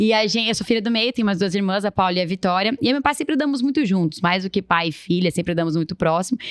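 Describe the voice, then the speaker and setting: A woman speaks very fast at a medium pitch, with hardly any pauses and lively intonation. Her loudness stays very even, and the sound is dry and close with no echo. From Brazil, Guarulhos (São Paulo area). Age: 20s. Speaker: social entrepreneur. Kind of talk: interview, personal storytelling.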